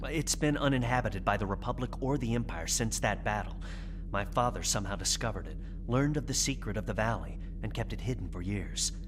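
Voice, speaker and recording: A man talks at a very fast pace. Loud background noise fills the clip. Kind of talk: audio drama performance.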